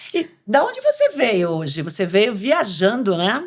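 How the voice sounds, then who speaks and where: A woman talks at a fairly slow pace in an animated tone. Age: 60s. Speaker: podcast co-host. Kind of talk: casual chat.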